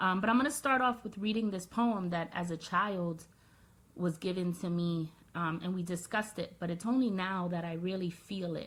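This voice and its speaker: Somewhat breathy, a woman speaks at medium pitch and a moderate pace with ordinary pitch variation. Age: 30s. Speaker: video blogger. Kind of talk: personal vlog monologue.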